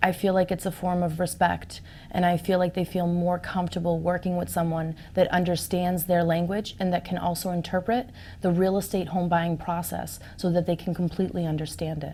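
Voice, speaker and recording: A woman talks at a fairly quick pace and fairly low pitch, somewhat breathy, in a dark, mellow tone. Her intonation is monotone and flat. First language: Portuguese. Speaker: real estate agent. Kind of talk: interview.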